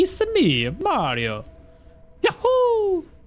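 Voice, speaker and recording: In a put-on character voice, the speaker reaches an extremely high pitch. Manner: cheerful, excited.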